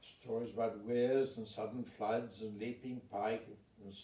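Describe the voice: Plain reading aloud, its intonation fairly even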